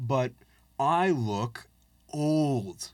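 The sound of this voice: A man at a very slow pace, slightly mellow in tone, with lively intonation. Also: medium pitch for a man.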